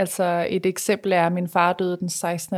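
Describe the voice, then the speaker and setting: Vocal fry comes through at a fairly slow pace on a very clean recording with a silent background. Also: woman. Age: 30s. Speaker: Instagram blogger. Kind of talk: personal testimony.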